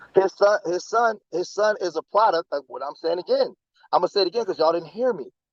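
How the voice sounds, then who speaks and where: A loud man's voice with lively intonation, dry and close with no echo. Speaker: commentator. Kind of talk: heated debate. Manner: animated. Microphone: phone.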